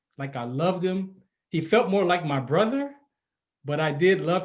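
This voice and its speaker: With ordinary pitch variation, a somewhat breathy voice talks at a fairly quick pace. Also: man. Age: 50s. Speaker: podcast host, retired army sergeant. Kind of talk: personal storytelling monologue.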